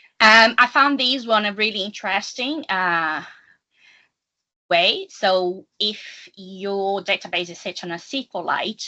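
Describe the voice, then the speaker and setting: A woman with a non-native accent speaks at a very slow pace, her loudness swinging widely. Her pitch is medium, with ordinary variation. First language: not English. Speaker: data analytics consultant. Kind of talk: technical presentation. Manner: halting, with fillers.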